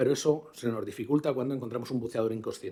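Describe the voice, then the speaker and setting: Speaking at a very fast pace, a man uses a dark, mellow tone at medium pitch with ordinary pitch variation. The recording is very clean, with a silent background. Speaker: diving medicine doctor. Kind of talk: conference talk.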